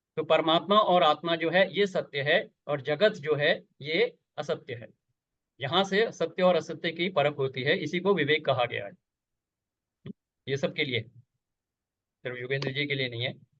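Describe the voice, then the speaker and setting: A man talks in a fairly high pitch. He leaves long, frequent pauses. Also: ordinary pitch variation. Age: 60s. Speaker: spiritual teacher. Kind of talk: spiritual satsang discussion. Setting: video call.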